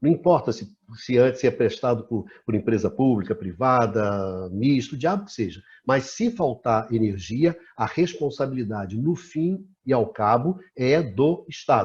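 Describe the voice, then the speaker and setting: Against a quiet background, a man with a somewhat breathy, medium-pitched voice talks at a fairly slow pace with lively intonation. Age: 60s. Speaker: talk show host, energy sector analyst. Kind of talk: discussion interview. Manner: animated.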